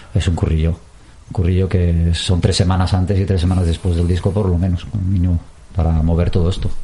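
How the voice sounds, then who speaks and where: Speaking fairly quickly in a very deep, low voice, a man keeps a monotone, flat intonation and very even loudness against noticeable background noise. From Basque Country, Portugalete. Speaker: musician. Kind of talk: interview.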